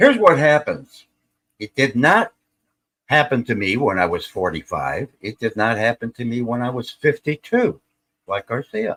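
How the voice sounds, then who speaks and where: A man speaks at a moderate pace and medium pitch in a plain, everyday voice, with lively intonation and a dry, close sound with no echo. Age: 60s. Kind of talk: casual chat.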